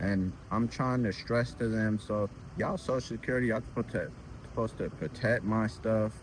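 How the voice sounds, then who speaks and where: Pitch variation is ordinary in this man's medium-pitched voice. He talks at a moderate pace. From Ethiopia, raised in US from about age 11. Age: 20s. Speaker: interviewee on street interview channel. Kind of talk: casual interview.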